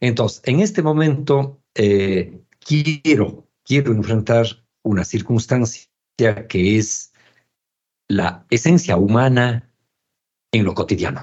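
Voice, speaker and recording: With lively intonation, a man speaks at a very slow pace, leaving long, frequent pauses. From Ecuador, Cuenca. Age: 60s. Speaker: visual artist and author. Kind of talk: casual chat.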